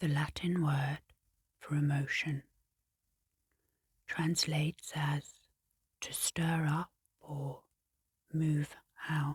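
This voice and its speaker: A woman speaks very slowly in a calm, somewhat breathy, monotone voice with flat intonation. Long, frequent pauses run through her speech. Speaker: hypnotherapist and clinical psychologist. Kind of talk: ASMR sleep hypnosis narration. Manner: soft-spoken, calm, slow.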